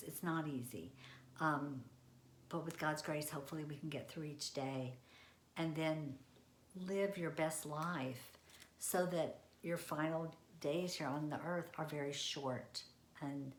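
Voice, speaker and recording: In a room with audible room echo, a woman speaks at a very deep, low pitch with ordinary pitch variation and long, frequent pauses. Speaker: senior living industry professional. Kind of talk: presentation. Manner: fast.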